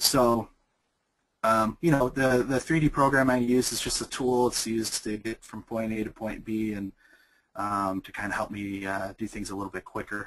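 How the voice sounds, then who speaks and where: A man speaks at a moderate pace in a medium pitch, his intonation fairly even. His loudness swings widely against a quiet background. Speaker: graphic designer and illustrator. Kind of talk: webinar tutorial. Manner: hesitant, many fillers.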